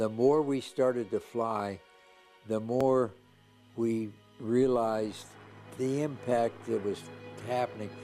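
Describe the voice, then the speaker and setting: A man at a very slow pace, fairly even in intonation, with long, frequent pauses and music in the background. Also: medium pitch for a man. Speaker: war veteran. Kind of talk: interview answer.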